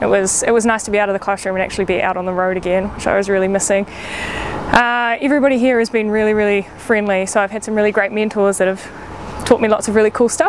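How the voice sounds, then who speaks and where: A woman with a New Zealand accent at medium pitch, talking very fast with hardly any pauses and fairly even intonation, amid noticeable background noise. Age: 20s. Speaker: paramedic. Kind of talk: casual talk to camera. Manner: slightly awkward, hesitant.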